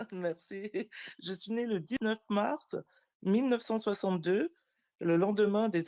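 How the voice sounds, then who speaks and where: A woman's dark, mellow tone at a very slow pace, in a dry, close sound with no echo. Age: 60s. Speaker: participant in online discussion. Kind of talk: online audio room discussion.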